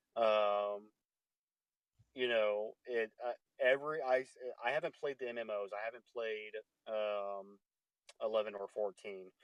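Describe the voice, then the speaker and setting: Pausing long and often, a man talks at a fairly slow pace and a fairly low pitch, his intonation fairly even. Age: 30s. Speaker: podcast host. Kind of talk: casual chat. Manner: halting, many fillers and repeats.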